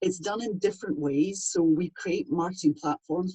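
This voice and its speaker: A woman talks with a dark, mellow tone. Her pitch varies in an ordinary way. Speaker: voiceover artist. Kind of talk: interview answer. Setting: home studio.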